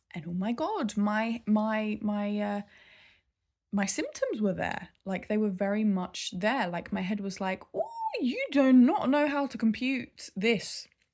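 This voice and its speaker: This fairly slow voice has an English accent and is somewhat breathy. Its pitch varies in an ordinary way. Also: woman, fairly high pitch for a woman. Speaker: vlogger. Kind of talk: casual vlog update. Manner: halting.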